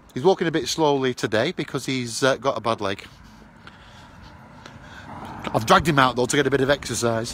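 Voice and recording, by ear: A man with a medium pitch and a fairly bright tone speaks at a moderate pace with ordinary pitch variation and long, frequent pauses.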